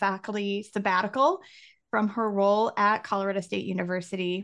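A normal speaking voice. It moves at a moderate pace. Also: woman. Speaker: podcast host and university staff member. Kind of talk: podcast hosting, casual conversation.

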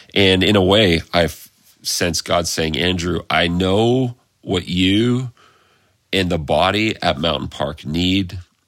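Speech comes at a very slow pace with ordinary pitch variation. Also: man, very deep, low pitch for a man. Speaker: pastor. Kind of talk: sermon. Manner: hesitant, many fillers.

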